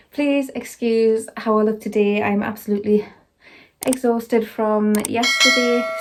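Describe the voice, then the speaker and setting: A woman with a Scottish accent talks at a fairly slow pace in a fairly high voice, with monotone, flat intonation and very even loudness. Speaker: vlogger. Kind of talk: casual vlog chat.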